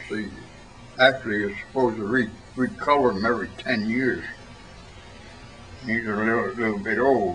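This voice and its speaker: Over noticeable background noise, a man talks at a moderate pace in a medium pitch with fairly even intonation and long, frequent pauses. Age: 80s+. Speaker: war veteran. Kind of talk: interview answer.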